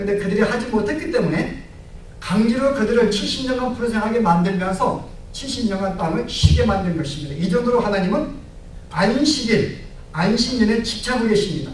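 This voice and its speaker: Over noticeable background noise and audible room echo, a man with a Gyeongsang accent talks at a fairly quick pace, his high pitch moving in lively intonation. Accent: Gyeongsang dialect, affects pronunciation. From Gyeongsang province, Korea. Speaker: pastor. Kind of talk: sermon.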